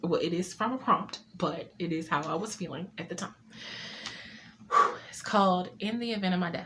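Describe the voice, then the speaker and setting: A woman with a shaky voice at medium pitch speaks at a moderate pace with ordinary pitch variation and long, frequent pauses, over noticeable background noise. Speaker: poet and author. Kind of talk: casual talk to camera. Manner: slightly shaky.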